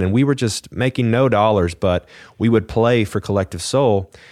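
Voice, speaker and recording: In a very clean recording with a silent background and a dry, close sound with no echo, a man speaks with a Texan accent. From Texas, Fort Worth area. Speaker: songwriter and singer. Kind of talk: casual interview.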